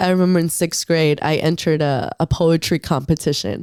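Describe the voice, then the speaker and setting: With a Spanish accent, a woman speaks in a dark, mellow tone at a fairly low pitch. Her pitch variation is ordinary, and the recording is very clean with a silent background. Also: dry, close sound with no echo. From northern Mexico (Acuña, Coahuila). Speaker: muralist and painter. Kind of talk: casual chat.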